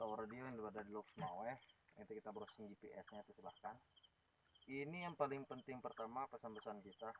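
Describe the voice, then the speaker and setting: Talking at a very fast pace, a man keeps his voice at a medium pitch. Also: ordinary pitch variation. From Aceh, Indonesia. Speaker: ghost-hunting YouTuber. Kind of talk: live stream chat. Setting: outdoors at old radio tower at night.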